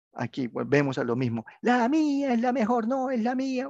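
A man talks at a fairly slow pace, his pitch swinging very widely. The sound is dry and close with no echo, over a quiet background. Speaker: university tutor. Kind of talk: online class tutorial.

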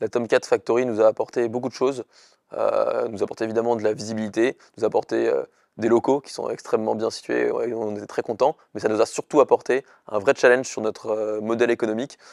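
Recorded with a dry sound, no echo and a quiet background, a man talks at a fairly quick pace. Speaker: startup founder. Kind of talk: interview. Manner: fast. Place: studio. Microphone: lapel.

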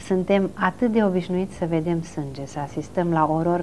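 The voice has a dark, mellow tone and ordinary pitch variation. It moves at a moderate pace over light background noise. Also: woman. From Romania, Bucharest. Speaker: film historian; interview guest. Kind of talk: television interview. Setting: TV studio. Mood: calm, reflective. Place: studio. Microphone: lapel.

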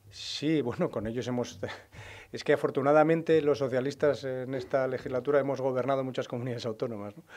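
With fairly even intonation, a man speaks at a very fast pace. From Spain, Burgos (Castilla y León); Castilla y León, Spain. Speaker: regional party leader, politician; politician. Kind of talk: press conference; press conference statement and answers. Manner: halting, many fillers and repetitions. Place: meeting room. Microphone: podium.

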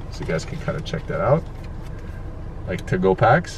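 Over light background noise, a man speaks in a dry sound with no echo. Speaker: vlogger. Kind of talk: casual vlog chat. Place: car. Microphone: phone near.

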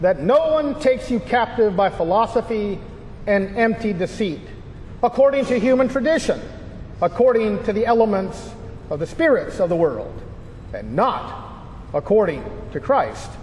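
A man's extremely high-pitched voice with lively intonation and long, frequent pauses, over light background noise. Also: moderate pace. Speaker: pastor leading chapel. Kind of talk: liturgical scripture reading. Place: church.

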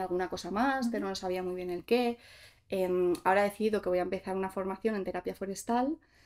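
As the woman speaks, her pitch shifts by an ordinary amount. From Basque Country (Gipuzkoa), Spain; Basque Country, Spain. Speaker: content creator. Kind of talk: casual interview chat. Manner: hesitant, many fillers. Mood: relaxed, reflective. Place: studio.

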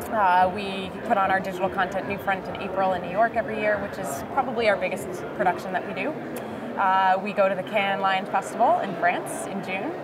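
Loud background noise fills the clip. The speech runs at a fairly quick pace. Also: woman. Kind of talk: interview answer. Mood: cheerful, smiling. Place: hall. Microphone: lapel.

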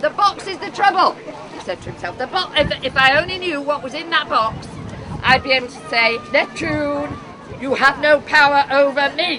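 A woman's high-pitched, raised and projected voice at a moderate pace, with lively intonation and big swings in loudness over crowd noise in the background. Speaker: storyteller. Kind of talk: live folk tale storytelling. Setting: outdoors. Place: tent. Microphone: camera far.

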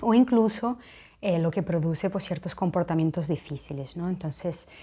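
A woman speaks at a fairly low pitch with ordinary pitch variation. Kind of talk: informative talk to camera. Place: home room. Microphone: lapel.

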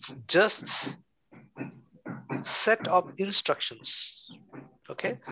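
Against a quiet background, a man with a high pitch talks very slowly. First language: Bengali. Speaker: programming teacher. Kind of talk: online lecture. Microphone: video call.

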